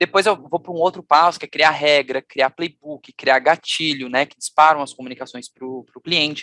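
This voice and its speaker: A man's fairly high, bright, sharp voice with fairly even intonation, big swings in loudness and hardly any pauses, in a dry, close sound with no echo. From Brazil, Florianópolis, Santa Catarina. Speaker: customer experience leader, conference speaker. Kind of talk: conference talk. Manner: fast.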